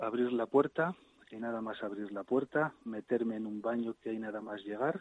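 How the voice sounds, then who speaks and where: Medium in pitch, a man talks at a moderate pace. The sound is dry and close, with no echo. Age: 50s. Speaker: emergency physician. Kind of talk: radio interview. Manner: halting.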